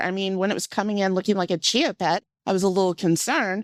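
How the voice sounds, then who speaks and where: The speaker has a slight Southern US accent and a fairly quick pace, recorded very cleanly against a silent background with a dry, close sound and no echo. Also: woman. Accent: slight Southern twang. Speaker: cancer patient advocate. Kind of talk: interview.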